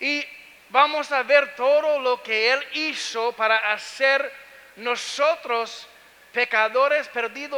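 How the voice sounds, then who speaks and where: Speaking very slowly in a raised, projected voice with an American accent, a man holds an extremely high pitch and fairly even intonation. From United States. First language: English (speaking Spanish). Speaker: pastor. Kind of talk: sermon. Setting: church. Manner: halting.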